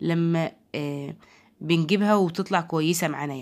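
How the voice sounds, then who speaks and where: A woman speaks with an Egyptian accent. Her voice sits fairly low. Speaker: home product reviewer. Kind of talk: product review. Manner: halting.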